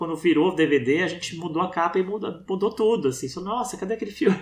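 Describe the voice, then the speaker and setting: A high male voice with lively intonation. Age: 40s. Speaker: documentary filmmaker. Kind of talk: casual interview.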